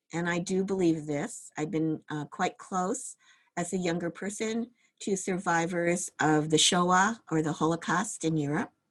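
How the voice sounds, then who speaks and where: The speaker has a normal speaking voice with an American accent. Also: woman, fairly low pitch for a woman, ordinary pitch variation, fairly slow pace. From US Midwest, Cleveland, Ohio. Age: 60s. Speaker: meditation teacher. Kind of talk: dharma talk. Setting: video call.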